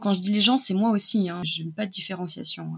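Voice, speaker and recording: An ordinary speaking voice from a woman, medium in pitch with ordinary pitch variation, at a fairly quick pace. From France, Nice hinterland. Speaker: illustrator. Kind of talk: casual interview.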